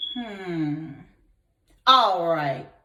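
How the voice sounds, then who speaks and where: A woman performs a put-on character voice. Her pitch is fairly low. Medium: read story. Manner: loud, bellowing.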